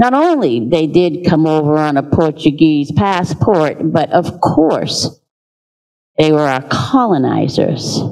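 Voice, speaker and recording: Over a quiet background, a woman with an American accent speaks at a very slow pace in a very deep, low voice with lively intonation. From Cape Verdean American community. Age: 70s. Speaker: audience member. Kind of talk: audience question. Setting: stage with audience. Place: hall.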